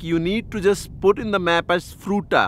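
The man's voice is high-pitched with ordinary pitch variation, heard in a dry sound with no echo. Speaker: travel vlogger. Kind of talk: casual vlog chat. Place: open country. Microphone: phone near.

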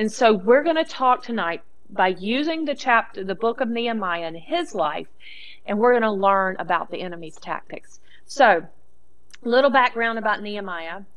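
Speaking at a moderate pace, a woman uses lively intonation and a fairly high pitch. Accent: Southern US. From US South. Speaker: Bible teacher. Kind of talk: sermon. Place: studio.

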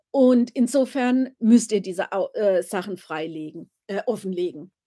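Speaking at a fairly slow pace, a woman uses a dark, mellow tone with lively intonation. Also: quiet background. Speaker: royal-family commentator, live streamer. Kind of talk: casual live stream chat about royals. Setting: live stream, home. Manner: chatty, relaxed, informal. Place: home room. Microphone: webcam.

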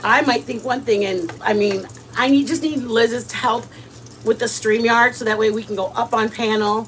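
A woman's animated voice with an American accent at a moderate pace, over light background noise. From US Midwest. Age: 50s. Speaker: cooking YouTuber. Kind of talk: casual cooking livestream chat. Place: kitchen. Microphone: phone near.

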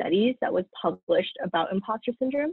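A woman with an American accent and a normal speaking voice, talking at a fairly quick pace with lively intonation, quiet background, and a dry sound with no echo. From Southern California, Pasadena; Southern California. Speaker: dental student; presenter. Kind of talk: student lecture presentation. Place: home room. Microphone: webcam.

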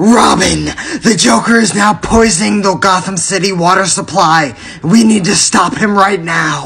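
A man uses a put-on character voice pitched high, with clear background noise in the recording. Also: moderate pace. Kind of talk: comic overacting. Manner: shouting, intense, indignant.

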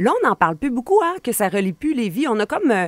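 A woman speaks with very wide pitch swings. She moves at a fairly quick pace. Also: quiet background, dry sound with no echo. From Quebec, Portneuf region (Donnacona); Quebec. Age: 40s. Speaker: political commentator. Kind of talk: radio interview. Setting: radio studio. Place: studio. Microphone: studio mic.

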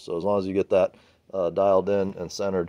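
A man speaks at a fairly quick pace, and the background stays quiet. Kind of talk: tutorial. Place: garage. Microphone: phone near.

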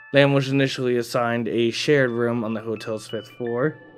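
A man speaks at a moderate pace with music in the background. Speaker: channel narrator. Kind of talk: true-crime storytelling narration.

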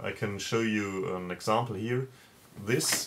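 A man with a German accent, a fairly low pitch, and fairly even intonation, over light background noise. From Germany. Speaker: comic creator. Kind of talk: video interview answer. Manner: halting, with filler words. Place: home room. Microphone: webcam.

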